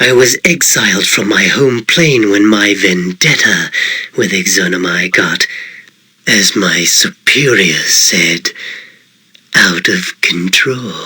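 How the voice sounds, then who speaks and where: A man's put-on character voice at medium pitch, delivered at a fairly slow pace. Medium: game stream. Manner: polished, courteous, condescending.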